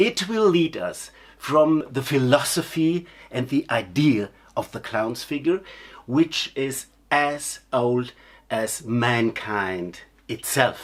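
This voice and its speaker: The recording is very clean, with a silent background. The speech is very slow. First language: not English. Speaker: clown teacher. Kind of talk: lecture. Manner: halting.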